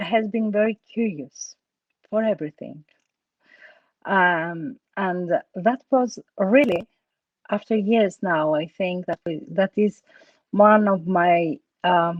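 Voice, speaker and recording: A woman with a Greek accent at a very slow pace, medium pitch with ordinary pitch variation, and long, frequent pauses. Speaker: actress. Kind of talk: interview. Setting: online talk. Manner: halting, many fillers.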